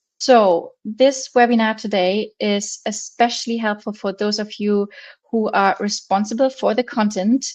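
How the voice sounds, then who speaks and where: Against a quiet background, a woman with a German accent talks at a fairly slow pace. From Germany. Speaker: marketing agency founder. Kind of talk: webinar presentation. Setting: online webinar with screen sharing.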